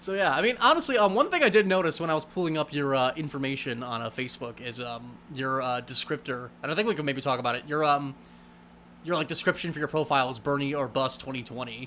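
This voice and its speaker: The pace is very fast. A man speaks at a fairly high pitch with ordinary variation. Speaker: livestream host. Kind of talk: casual chat.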